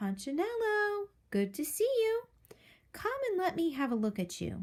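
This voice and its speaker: In a put-on character voice, a woman speaks extremely high and squeaky, with a warm tone. Her pitch swings very widely, and her pace is moderate. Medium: read story. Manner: warm, fatherly.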